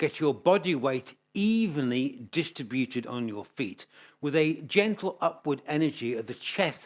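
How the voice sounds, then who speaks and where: Speaking at a fairly slow pace, an unremarkable speaking voice carries lively intonation. The recording is very clean, with a silent background. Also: man. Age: 60s. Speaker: yoga teacher. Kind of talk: tutorial. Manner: calm, instructional cues.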